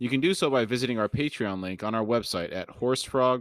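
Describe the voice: Someone does plain reading aloud, and the pitch varies in an ordinary way.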